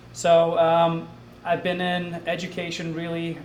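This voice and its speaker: Noticeable noise sits in the background, and the room gives off an audible echo. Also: man. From Scotland. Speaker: assistant principal. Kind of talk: self-introduction at public meeting.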